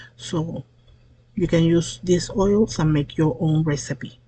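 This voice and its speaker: A woman's fairly low, somewhat breathy voice with a dark, mellow tone at a fairly slow pace. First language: Spanish. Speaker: soap maker. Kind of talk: tutorial. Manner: halting, with fillers.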